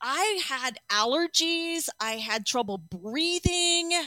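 A raised, projected voice with very wide pitch swings at a very slow pace, in a dry, close sound with no echo. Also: woman. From Arizona. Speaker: clinician. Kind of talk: interview.

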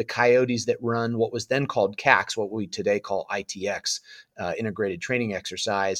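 Recorded dry and close with no echo, a man with a West Coast US accent talks at a medium pitch and moderate pace with ordinary pitch variation. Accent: General American (West Coast). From Southern California. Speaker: former Marine infantry officer. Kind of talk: interview storytelling.

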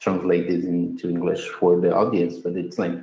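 Audible room echo surrounds a man whose tone is slightly mellow.

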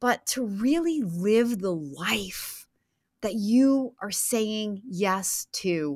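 A woman's lively intonation on a very clean recording with a silent background. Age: 50s. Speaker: podcast host and franchise consultant. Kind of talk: solo podcast monologue.

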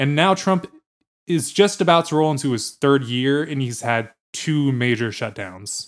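Lively intonation at a fairly slow pace, with an American accent. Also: man, fairly high pitch for a man. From New Jersey and Virginia. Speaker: podcast producer and co-host. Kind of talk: casual banter podcast chat. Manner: playful, jokey.

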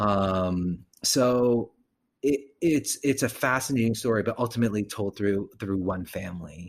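The voice is a plain, everyday voice with ordinary pitch variation. It moves at a fairly slow pace. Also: man, fairly low pitch for a man. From US, child of Korean immigrants. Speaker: actor, director and acting teacher. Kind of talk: casual interview. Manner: frequent ums and fillers.

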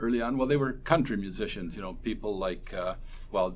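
There is audible room echo as a man speaks with a Canadian accent. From Ontario, Canada (Port Dover). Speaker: folk musician. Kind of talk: interview. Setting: convention hospitality suite.

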